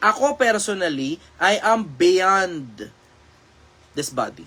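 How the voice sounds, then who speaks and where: In a raised, projected voice, a man speaks with an animated tone and a high pitch. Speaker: online live streamer giving life advice. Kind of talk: live stream Q&A talk. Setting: live stream. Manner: casual, animated.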